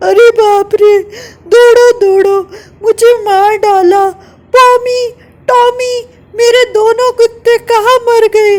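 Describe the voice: A put-on character voice at an extremely high pitch, very slow, with long, frequent pauses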